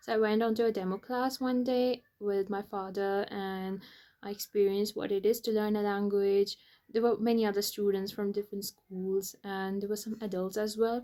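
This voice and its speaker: Speaking at a moderate pace, a woman with a medium pitch and a dark, mellow tone keeps her intonation fairly even. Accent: Indian. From India (Bengali, raised in north India, Shimla). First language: Bengali. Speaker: vlogger. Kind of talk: casual vlog talk.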